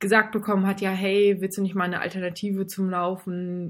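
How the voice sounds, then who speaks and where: Medium-pitched female voice, monotone and flat, at a moderate pace in a very clean recording with a silent background. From northern Germany, Baltic coast near Fehmarn. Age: 20s. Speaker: amateur triathlete with heart condition. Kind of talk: interview.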